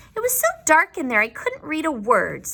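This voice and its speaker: Doing a put-on character voice, a woman squeaks at an extremely high pitch and a moderate pace. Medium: read story. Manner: cross, curt.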